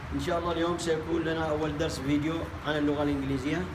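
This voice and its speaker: Noticeable background noise surrounds a man who speaks at a very fast pace with monotone, flat intonation. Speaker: English teacher. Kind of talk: language lesson. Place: classroom. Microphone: camera far.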